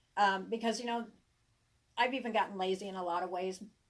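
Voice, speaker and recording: A woman talks at medium pitch with an American accent. Her pace is moderate and her intonation fairly even. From US South, Arkansas hills. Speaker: tarot reader and herbalist. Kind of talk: casual live-stream chat. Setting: live stream. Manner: halting, with many fillers and restarts.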